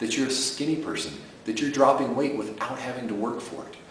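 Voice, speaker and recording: In an enthusiastic tone, a man at medium pitch talks at a fairly quick pace against noticeable background noise. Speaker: sleep program creator and host. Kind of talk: casual talk to camera promoting a product. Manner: conversational, enthusiastic, persuasive.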